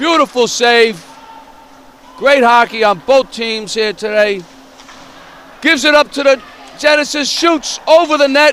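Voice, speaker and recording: Over noticeable background noise, a man with an extremely high pitch speaks at a fairly slow pace, leaving long, frequent pauses. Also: ordinary pitch variation. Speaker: amateur hockey commentator. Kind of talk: live commentary. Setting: ice rink. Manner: loud.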